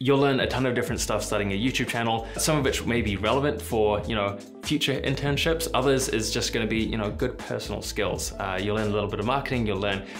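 Against clear music in the background, a man with a fairly low pitch and ordinary pitch variation talks at a very fast pace with hardly any pauses. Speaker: software developer youtuber. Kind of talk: casual advice vlog. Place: home room.

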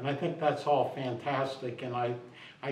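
A man with an American accent and a fairly high pitch speaks at a moderate pace, with light background noise and audible room echo. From Ohio, US Midwest. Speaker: mayor. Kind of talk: interview. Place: empty room.

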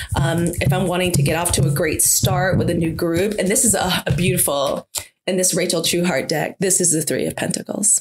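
A plain, everyday voice from a woman with an American accent, fairly low in pitch with ordinary pitch variation, at a fairly quick pace and very even loudness. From US South. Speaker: podcast co-host, spiritual practitioner. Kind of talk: casual chat.

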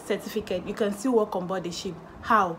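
There is light background noise behind a woman speaking. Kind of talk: tutorial. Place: home room. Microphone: phone near.

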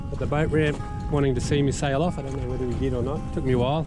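Over clear background music, a man speaks very fast. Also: dry sound with no echo. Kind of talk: casual vlog chat. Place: boat. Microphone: camera far.

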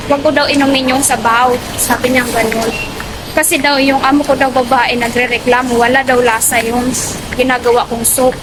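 Against noticeable background noise, a woman with a high voice talks at a fairly quick pace, her loudness very even and her intonation flat and monotone. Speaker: domestic helper vlogger. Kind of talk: casual vlog. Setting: outdoors, walking to market.

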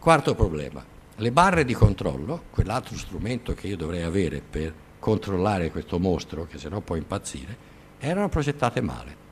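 Moving at a fairly quick pace, a man's fairly low voice has vocal fry and very wide pitch swings. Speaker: lecturer on nuclear engineering. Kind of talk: lecture. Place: classroom.

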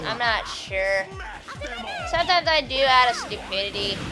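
Over music in the background, a woman with a high pitch talks at a moderate pace with lively intonation. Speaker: let's player. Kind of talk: casual gameplay commentary.

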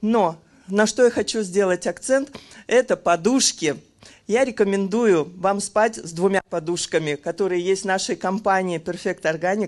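The setting behind her is quiet. A woman speaks at a fairly slow pace. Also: ordinary pitch variation. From Kazan, Russia; Russia. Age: 50s. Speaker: customer giving a product testimonial. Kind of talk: testimonial sales pitch. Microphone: handheld.

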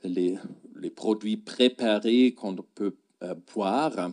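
Over a quiet background, a man with a German accent speaks very slowly in a dark, mellow tone. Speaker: gastroenterologist; medical lecturer. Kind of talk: lecture. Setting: stage with audience. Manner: halting. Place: hall. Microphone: handheld.

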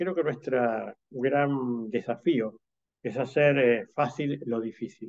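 Speaking in an unremarkable speaking voice, the man has a medium pitch and ordinary pitch variation. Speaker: automation industry executive. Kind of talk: panel discussion. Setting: video call.

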